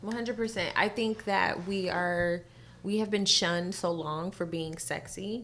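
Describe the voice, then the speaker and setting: Speaking very slowly with a Californian accent, a woman uses a medium pitch and fairly even intonation. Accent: Californian American English. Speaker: singer and entertainer. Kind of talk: casual chat.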